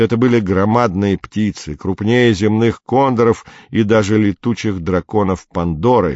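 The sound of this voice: This is an unforced reading voice. Nothing more is marked.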